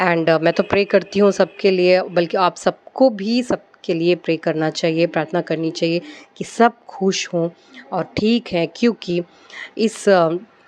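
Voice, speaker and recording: A woman with a Malayalam accent speaks in a fairly low voice. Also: ordinary pitch variation. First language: Malayalam (speaking Hindi). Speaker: devotional vlogger. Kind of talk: casual devotional talk, personal anecdote. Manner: hesitant, many fillers.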